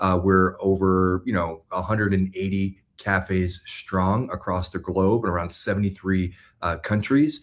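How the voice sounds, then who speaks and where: A man speaks with a Florida accent at a moderate pace, his pitch very deep and low. His intonation stays fairly even against a quiet background. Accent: American, Florida. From US, Florida (West Palm Beach). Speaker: business executive. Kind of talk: interview. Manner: hesitant, many fillers.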